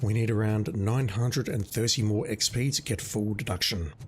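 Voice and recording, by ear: A man's hoarse put-on character voice at medium pitch, moderate pace, very even loudness and ordinary pitch variation, with clear background noise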